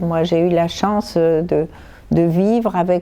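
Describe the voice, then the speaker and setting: Fairly low in pitch, a woman speaks with a dark, mellow tone and fairly even intonation. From Morocco. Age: 70s. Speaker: author and cook. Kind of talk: interview answer. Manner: clear.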